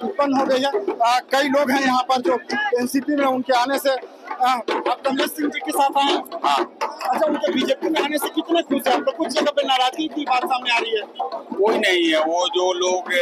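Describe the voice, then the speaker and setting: Against crowd noise in the background, a man speaks at a moderate pace with a dry sound and no echo. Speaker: TV news reporter. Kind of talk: field news report and interview questions. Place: street. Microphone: handheld.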